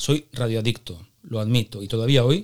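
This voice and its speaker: A man has a plain, everyday voice with medium pitch and ordinary pitch variation. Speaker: podcast host. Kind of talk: interview; scripted intro monologue.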